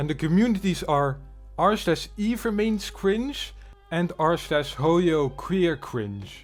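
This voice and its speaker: Backed by music, a man with a high pitch speaks at a very slow pace, his pitch swinging very widely. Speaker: drama commentary YouTuber. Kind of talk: casual commentary reacting to online drama.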